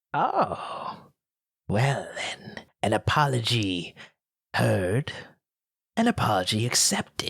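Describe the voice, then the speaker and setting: Someone in a put-on character voice speaks very slowly at a low-to-middle pitch. Long pauses come often. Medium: actual play. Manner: smooth, probing.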